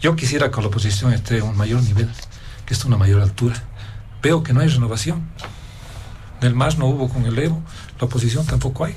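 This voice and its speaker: Amid audible room echo, a man of medium pitch talks at a very fast pace with ordinary pitch variation. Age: 60s. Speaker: political analyst. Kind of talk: political panel debate.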